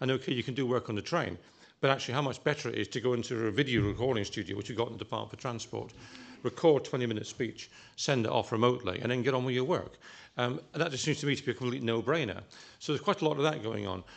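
Ordinary pitch variation from a man at a very fast pace. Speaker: government official at a panel. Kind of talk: Q&A answer. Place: hall. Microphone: podium.

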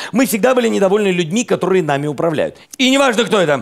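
Over a quiet background, the speech comes at a very fast pace. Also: man. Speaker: comedian host. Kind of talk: stand-up comedy monologue. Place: stage. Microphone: headset.

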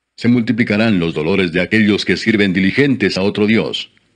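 Over a quiet background, a man uses a normal speaking voice at a fairly low pitch. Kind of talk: audiobook-style reading aloud of scripture (Psalms). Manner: slow, solemn, formal reverent reading; steady measured pace with pauses between verses.

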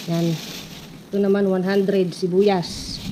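A woman with a strong Eastern Visayas accent speaks at a medium pitch amid noticeable background noise. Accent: Waray-accented Tagalog, strong. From Eastern Visayas (Waray region). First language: Waray (speaking Tagalog). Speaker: vlogger. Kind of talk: casual vlog narration.

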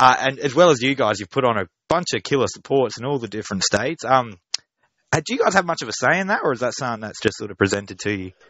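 Very fast speech from a man at a medium pitch, lively in intonation. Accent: Australian. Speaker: music publicist and interviewer. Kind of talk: interview. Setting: phone call.

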